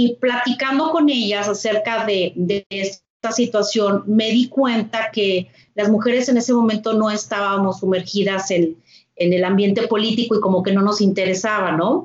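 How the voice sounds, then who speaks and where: A woman speaks in a normal speaking voice at a fairly high pitch and a moderate pace. Her loudness is very even, and her pitch variation is ordinary. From northern Mexico, Torreón, Coahuila. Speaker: civic foundation president. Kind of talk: interview conversation.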